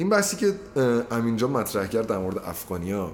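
The speech moves at a fairly quick pace with very wide pitch swings. Noticeable background noise is present. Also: man. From Iranian Azerbaijan. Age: 20s. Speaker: law student. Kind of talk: casual chat.

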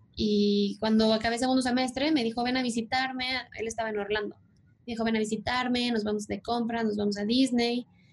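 The delivery is monotone and flat, moving at a fairly quick pace. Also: woman, fairly high pitch for a woman. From Mexico City. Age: 30s. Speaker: commercial airline pilot. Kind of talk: podcast interview.

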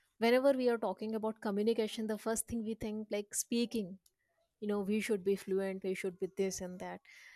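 A woman with an Indian accent speaks in a flat monotone at a fairly high pitch. Her pace is fairly quick, and the sound is dry and close with no echo. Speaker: podcast host. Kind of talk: casual group discussion. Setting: online voice call. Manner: fast talker.

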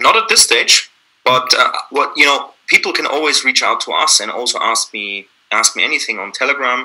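This man speaks with a German accent. His pace is moderate. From Austria, Vienna. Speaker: company founder and CEO. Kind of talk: interview. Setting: video call.

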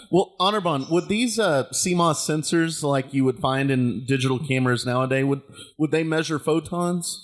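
This man has a fairly high pitch and an unremarkable speaking voice. He keeps a moderate pace, very even loudness and ordinary pitch variation. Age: 30s. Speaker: podcast host. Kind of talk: casual chat.

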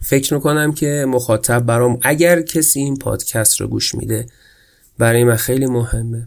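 This man speaks at a moderate pace with a medium pitch and fairly even intonation. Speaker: podcast host. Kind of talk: solo podcast monologue. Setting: home room.

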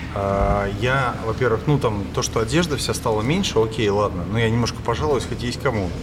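The speech comes at a moderate pace with hardly any pauses and ordinary pitch variation. Noticeable background noise and audible room echo are present. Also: man, medium pitch for a man. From St. Petersburg area, Russia. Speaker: podcast host. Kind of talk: casual chat.

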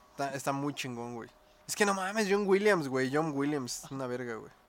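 In a room with audible echo, a man with a fairly high pitch talks at a moderate pace, his intonation lively and his loudness swinging widely. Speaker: podcast host. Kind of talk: casual chat.

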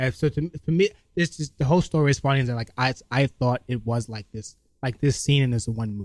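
Recorded with a dry, close sound and no echo, a man with a New York accent talks very fast at a medium pitch with ordinary pitch variation. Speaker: comedian. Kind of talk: casual chat. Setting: studio. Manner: casual and laid-back.

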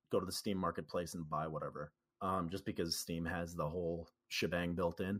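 A man talks at a moderate pace. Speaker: gamer and musician. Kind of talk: casual interview chat. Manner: hesitant, filler-heavy.

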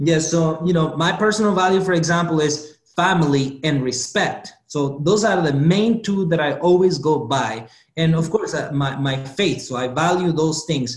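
A man with a non-native accent, a fairly high pitch, ordinary pitch variation, a moderate pace and hardly any pauses. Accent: foreign-accented English. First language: not English. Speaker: motivational speaker. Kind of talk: interview. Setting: video call.

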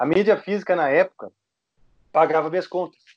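The recording is dry and close, without any echo. A man talks with ordinary pitch variation. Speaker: heavy metal guitarist. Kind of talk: casual interview.

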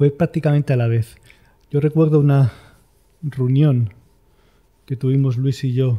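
A man with a Madrid accent speaks at a fairly slow pace, his voice fairly high in pitch, dark and mellow in tone, and somewhat breathy. His intonation stays fairly even, broken by long, frequent pauses. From Spain, Madrid. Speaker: architect, firm co-founder. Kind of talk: interview.

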